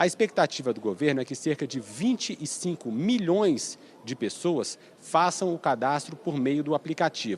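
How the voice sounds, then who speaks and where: Dry and close with no echo, a man's fairly high voice moves at a moderate pace through very wide pitch swings. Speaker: TV news reporter. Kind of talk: live news report. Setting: presidential palace press area.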